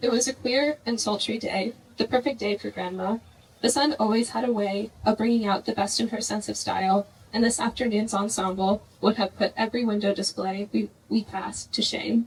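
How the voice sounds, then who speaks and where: A soft-spoken woman talks at a fairly quick pace with a fairly high pitch and fairly even intonation, over noticeable background noise. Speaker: grandchild giving eulogy. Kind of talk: memorial tribute speech.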